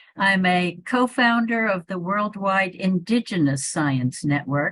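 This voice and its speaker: A woman with a Northeastern US accent, medium in pitch, with lively intonation at a fairly slow pace. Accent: American Northeast. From US Northeast, Hudson Valley New York. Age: 80s+. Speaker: evolution biologist and author. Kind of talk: interview conversation.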